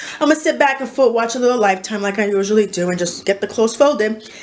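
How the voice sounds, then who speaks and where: Talking at a very fast pace, a woman uses a medium pitch and ordinary pitch variation, with noticeable background noise behind her. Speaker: vlogger. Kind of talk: casual vlog talk. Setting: at home. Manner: halting, many fillers.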